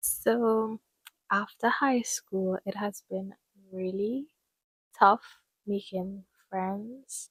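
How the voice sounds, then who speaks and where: A somewhat breathy voice at a very slow pace, fairly even in intonation, with long, frequent pauses and a dry, close sound with no echo. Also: woman, medium pitch for a woman. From Trinidad and Tobago. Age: 20s. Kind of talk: casual talk to camera.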